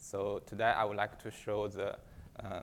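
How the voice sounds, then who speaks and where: A man talks with a Chinese accent at a moderate pace. His pitch is fairly low. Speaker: software engineer presenting benchmarks. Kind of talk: conference talk. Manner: halting, many fillers.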